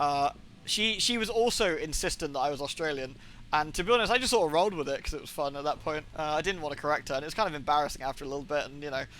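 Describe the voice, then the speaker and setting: Talking at a very fast pace in a British accent, a man uses a bright, sharp tone, a fairly high pitch and lively intonation. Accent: British accent found weird by Americans. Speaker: video game streamer. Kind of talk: casual chat. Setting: live stream.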